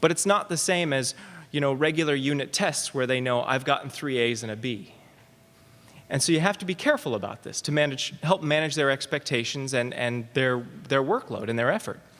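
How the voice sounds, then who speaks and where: Its pitch varies in an ordinary way as the voice goes along at a fairly quick pace. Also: man, fairly high pitch for a man. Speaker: math professor. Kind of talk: conference talk. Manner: fast.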